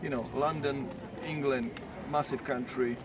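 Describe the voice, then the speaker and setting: Speaking with an Eastern European accent, a man keeps a moderate pace and a fairly even intonation. His pitch is fairly high, and there is noticeable background noise. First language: not English. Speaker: cyclist. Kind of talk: casual talk to camera. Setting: outdoors.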